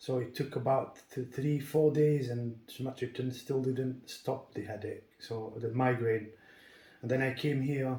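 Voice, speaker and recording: Somewhat breathy and dark, mellow in tone, a man at medium pitch speaks fairly slowly in a flat monotone. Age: 40s. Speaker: builder, patient giving testimony. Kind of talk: testimony. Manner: halting, many fillers.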